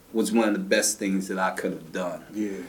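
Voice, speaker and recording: A man's voice with audible room echo. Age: 50s. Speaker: martial arts instructor and activist. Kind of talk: interview about his life.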